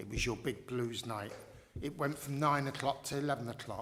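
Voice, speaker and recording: A man's medium-pitched voice with ordinary pitch variation and audible room echo. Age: 70s. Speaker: local resident objecting at licensing hearing. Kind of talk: formal hearing testimony. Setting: council licensing panel hearing. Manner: halting.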